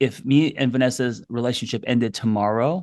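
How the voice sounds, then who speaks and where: At a moderate pace, a man with an American accent and a medium pitch talks in a plain, everyday voice, with ordinary pitch variation against a quiet background. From New York. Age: 50s. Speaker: therapist. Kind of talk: casual chat.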